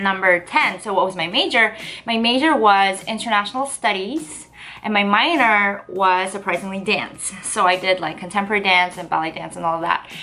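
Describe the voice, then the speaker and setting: A woman with a Korean accent, medium pitch, ordinary pitch variation and a moderate pace. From South Korea. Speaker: lifestyle vlogger. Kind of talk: casual vlog talk to camera. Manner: chatty, hesitant with fillers.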